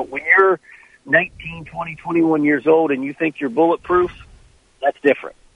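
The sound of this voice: With ordinary pitch variation, a man speaks at fairly high pitch, showing vocal fry and a slightly husky edge in a dry, close sound with no echo. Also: moderate pace.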